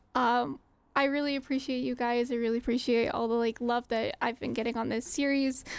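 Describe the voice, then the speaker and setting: In an American accent, a woman speaks with a high pitch. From US South. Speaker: gaming streamer. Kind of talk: casual chat; stream outro.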